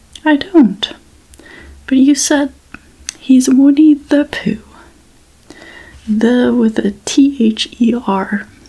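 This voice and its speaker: Very slow, soft-spoken speech with long, frequent pauses and noticeable background noise. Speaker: ASMR creator. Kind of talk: bedtime story reading.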